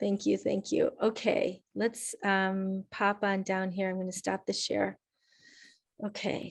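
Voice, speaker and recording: A woman talks at a very slow pace over a quiet background. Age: 60s. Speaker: climate coach. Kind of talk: webinar talk with Q&A.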